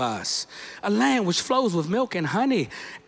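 A man talks with lively intonation and a high pitch. His tone is animated. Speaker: guest preacher, minister. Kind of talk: sermon delivered to a congregation. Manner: animated, emphatic, rhythmic repetition. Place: church. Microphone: handheld.

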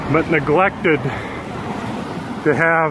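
The recording has a dry sound with no echo but noticeable background noise. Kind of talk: live commentary. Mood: frustrated, sarcastic. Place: bicycle.

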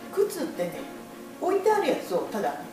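The speaker moves at a fairly quick pace. Clear music plays in the background, and the room echo is audible. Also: woman. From Kakamigahara, Gifu, Japan. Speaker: shoe shop customer giving testimonial. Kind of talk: interview answer. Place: shop. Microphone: camera far.

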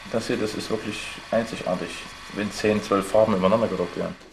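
A man with a fairly low pitch talks in a flat monotone, his loudness swinging widely over noticeable background noise. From Leipzig, Saxony, eastern Germany; Saxony, Germany. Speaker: painter and artist. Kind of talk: casual interview talk. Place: home room.

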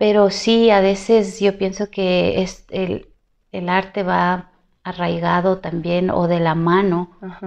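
Against a quiet background, a woman speaks at a very slow pace. Her medium-pitched voice stays monotone and flat. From Ecuador. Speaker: singer; interviewee. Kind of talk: interview. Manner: halting. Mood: reflective, personal. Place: home room. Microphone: lapel.

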